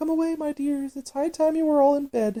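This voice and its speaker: The voice is high-pitched and put on as a character. It moves at a fairly quick pace. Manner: anxious, fussy.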